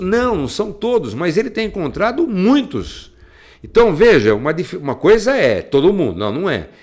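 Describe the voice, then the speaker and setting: A man speaks with vocal fry and very wide pitch swings. The recording is very clean, with a silent background. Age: 60s. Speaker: radio host. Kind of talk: commentary. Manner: halting.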